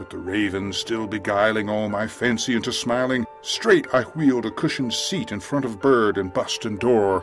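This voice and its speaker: With music in the background, a man speaks at a moderate pace and medium pitch in a dramatic tone. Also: ordinary pitch variation, hardly any pauses. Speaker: voice artist. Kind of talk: dramatic poetry reading.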